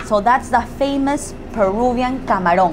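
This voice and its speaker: Noticeable background noise fills the recording. A woman talks at a fairly slow pace. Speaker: travel food host. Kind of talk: casual vlog chat. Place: kitchen. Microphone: lapel.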